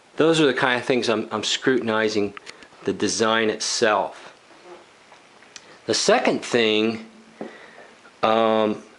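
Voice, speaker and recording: A man at medium pitch talks at a very slow pace with long, frequent pauses and fairly even intonation, over noticeable background noise. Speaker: woodworking youtuber. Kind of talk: tutorial. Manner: halting.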